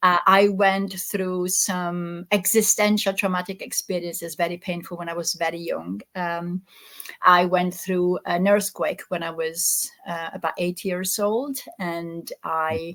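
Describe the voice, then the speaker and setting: Fairly slow, fairly even delivery in an Italian accent. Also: woman, medium pitch for a woman. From Italy. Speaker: existential therapist. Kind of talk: interview. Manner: halting, with many repeated words.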